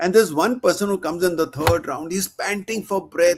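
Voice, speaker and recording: Speaking at a moderate pace, a man uses a high pitch with ordinary pitch variation. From India. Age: 70s. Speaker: podcast host, retired army officer. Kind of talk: casual interview conversation.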